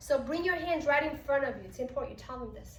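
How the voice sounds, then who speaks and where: The voice shows ordinary pitch variation, and audible room echo is present. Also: woman. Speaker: pilates instructor. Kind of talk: instructor training tutorial.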